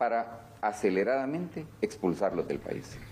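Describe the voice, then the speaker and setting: A man speaks with lively intonation at a fairly slow pace. Light background noise can be heard. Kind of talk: interview answer. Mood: serious, critical. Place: office. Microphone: handheld.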